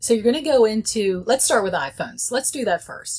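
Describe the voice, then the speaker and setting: A somewhat breathy woman speaks at a moderate pace with lively intonation over light background noise. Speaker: presenter. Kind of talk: tutorial. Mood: friendly, chatty. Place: office.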